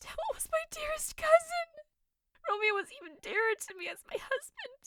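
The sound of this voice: A woman uses a put-on character voice at an extremely high pitch with big pitch swings. Her fairly bright tone comes through in a dry, close sound with no echo. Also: moderate pace.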